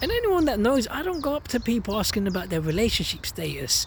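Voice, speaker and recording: Noticeable background noise surrounds a man who talks at a fairly quick pace. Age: 30s. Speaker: vlogger and amateur boxer. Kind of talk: casual monologue vlog. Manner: fast.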